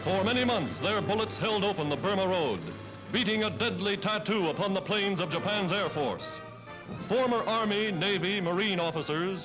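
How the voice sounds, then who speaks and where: Over music in the background, a man speaks in a high voice at a moderate pace with ordinary pitch variation. His tone is solemn and dramatic. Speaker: newsreel narrator. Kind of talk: wartime newsreel narration. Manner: solemn, dramatic, brisk.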